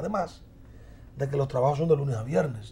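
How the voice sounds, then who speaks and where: Speaking very fast, a man uses a fairly high pitch with a dark, mellow tone. His voice is somewhat breathy. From southern Dominican Republic. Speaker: congressman; politician guest. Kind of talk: interview. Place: studio. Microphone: lapel.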